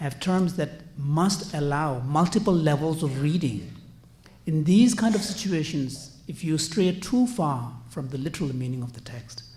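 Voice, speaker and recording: Audible room echo surrounds a man with a fairly high pitch and a dark, mellow tone. He speaks at a fairly slow pace with lively intonation. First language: not English. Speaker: conference panelist, translator. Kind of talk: conference panel talk. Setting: conference panel. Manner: hesitant, frequent fillers.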